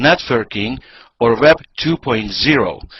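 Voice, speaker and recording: A man with a Hungarian accent and ordinary pitch variation. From Hungary. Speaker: network marketing presenter. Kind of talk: sales pitch. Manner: halting.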